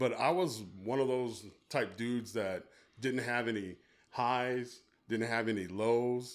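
A plain, everyday voice from a man, medium in pitch, at a fairly slow pace with ordinary pitch variation. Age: 50s. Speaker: youth worker and church member. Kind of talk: casual chat.

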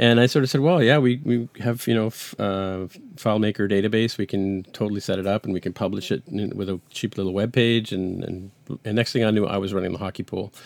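Very fast male speech, fairly low in pitch, with ordinary pitch variation. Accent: Canadian. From Canada, raised in Toronto and Montreal; born in England. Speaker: iOS developer and podcast host. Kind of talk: casual interview. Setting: home basement, remote recording.

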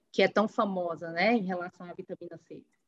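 This woman talks at a moderate pace in an ordinary speaking voice. Her pitch rises and falls a normal amount. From Ceará, northeastern Brazil (Ubajara). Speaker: agronomy researcher at an organic acerola farm. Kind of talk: interview; demonstration.

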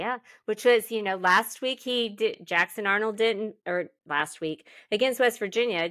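On a very clean recording with a silent background, a woman with an American accent speaks at a moderate pace in a fairly high, bright, sharp tone. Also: ordinary pitch variation. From Oklahoma. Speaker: sports podcast co-host. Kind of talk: casual chat.

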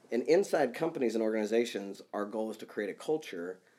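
A man with a Midwestern US accent speaks at a fairly low pitch. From Kansas. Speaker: executive coach and author. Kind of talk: casual interview conversation.

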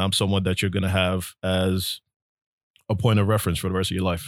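A man with a very deep, low voice and a New York accent, fairly quick, monotone and flat, in a dry, close sound with no echo. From New York City (Brooklyn). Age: 40s. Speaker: real estate agent. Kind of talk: casual interview.

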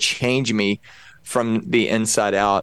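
This is a man speaking. He has a Texan accent. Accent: Texan American English. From Texas. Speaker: pastor and evangelist. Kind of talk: casual interview.

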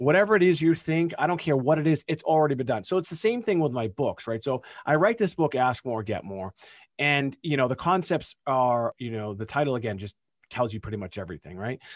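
The recording is very clean, with a silent background. A man speaks fairly quickly at a fairly high pitch, with very wide pitch swings. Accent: American. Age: 40s. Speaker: lawyer, author and entrepreneur. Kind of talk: podcast interview. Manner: casual, lots of fillers.

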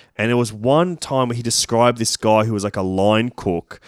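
A man with an Australian accent speaks at a medium pitch. The sound is dry and close with no echo, in a very clean recording with a silent background. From Sydney, inner west. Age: 30s. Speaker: comedian and film critic. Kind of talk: casual chat.

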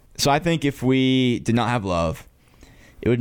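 A man speaks in an ordinary speaking voice with an American accent. His intonation is lively and his pace moderate. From North Carolina. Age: 20s. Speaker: student podcast host. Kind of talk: casual chat. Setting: studio.

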